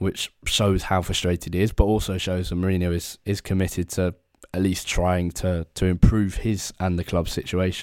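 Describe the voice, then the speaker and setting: In a very clean recording with a silent background, a man with an English accent speaks at a very deep, low pitch with monotone, flat intonation. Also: moderate pace. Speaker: football podcast host. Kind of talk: casual sports discussion podcast.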